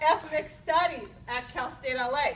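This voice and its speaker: Someone talks at a fairly slow pace against noticeable background noise. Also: woman. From Los Angeles (moved from Mexico at seven). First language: Spanish. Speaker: university faculty member. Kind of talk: formal speech at academic senate meeting.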